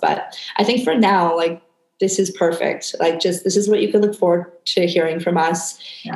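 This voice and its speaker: A woman's medium-pitched voice in a Canadian accent, fairly quick and fairly even in intonation. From Canada. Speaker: podcast host, wellness coach. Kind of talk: casual chat; scripted narration.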